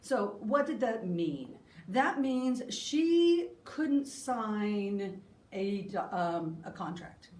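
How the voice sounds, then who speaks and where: Amid noticeable background noise and audible room echo, a woman speaks very slowly at a fairly high pitch, her voice making very wide pitch swings. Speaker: history discussion presenter. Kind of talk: lecture.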